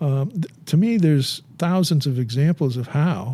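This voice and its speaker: Somewhat breathy and dark, mellow in tone, a man speaks at a fairly high pitch. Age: 70s. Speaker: beekeeper. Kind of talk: podcast interview. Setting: studio. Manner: halting, many repetitions.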